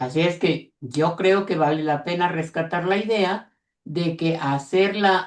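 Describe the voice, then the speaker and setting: A woman is speaking. Her pace is very slow. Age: 80s+. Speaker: teacher. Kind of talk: audience comment in webinar.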